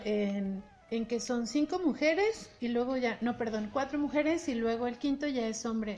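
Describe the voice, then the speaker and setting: With noticeable background noise behind her, a woman talks at a high pitch and a moderate pace, with ordinary pitch variation and hardly any pauses. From Mexico, Bajío. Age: 30s. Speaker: podcast co-host. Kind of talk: interview.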